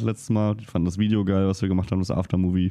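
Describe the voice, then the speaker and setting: This man's pitch is very deep and low. He talks at a very fast pace with fairly even intonation. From rural Germany. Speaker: motorcycle podcaster. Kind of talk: casual chat.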